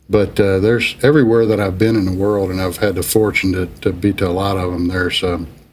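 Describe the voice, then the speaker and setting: A man with an American accent speaks with fairly even intonation. Noticeable background noise is present. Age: 60s. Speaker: business executive. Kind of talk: interview. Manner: halting, many fillers.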